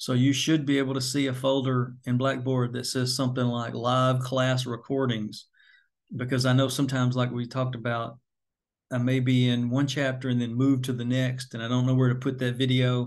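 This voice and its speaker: Against a quiet background, a man at medium pitch talks at a fairly quick pace in a flat, monotone way. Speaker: college instructor. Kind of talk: lecture.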